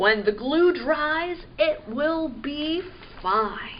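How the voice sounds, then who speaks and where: A woman puts on a character voice, pitched high and delivered at a very slow pace. Clear background noise sits behind her. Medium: read story. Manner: gentle, reassuring.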